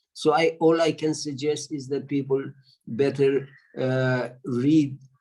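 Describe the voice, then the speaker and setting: A man with a Persian accent, a dark, mellow tone, fairly even intonation and a very slow pace. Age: 70s. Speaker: audience participant. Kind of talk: panel discussion comment. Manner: halting.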